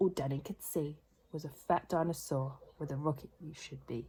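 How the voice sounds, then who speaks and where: A woman with a British accent speaks at a very deep, low pitch. Her tone is dark and mellow, and somewhat breathy. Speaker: children's book reader. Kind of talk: reading aloud. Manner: rhythmic storytelling.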